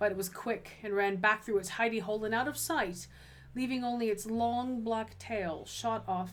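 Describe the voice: What you hear is plain reading aloud.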